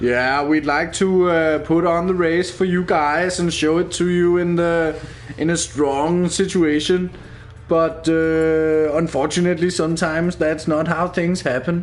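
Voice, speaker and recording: Speaking with a Danish accent, a man with a high pitch talks at a fairly slow pace in a monotone, flat intonation and very even loudness. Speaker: esports race commentator. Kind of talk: live commentary.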